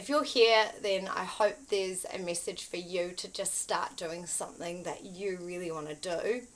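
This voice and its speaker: A woman speaks at a medium pitch. Her pace is fairly slow, with ordinary pitch variation. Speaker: spiritual content creator. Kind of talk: casual spiritual talk to camera. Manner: hesitant, many fillers.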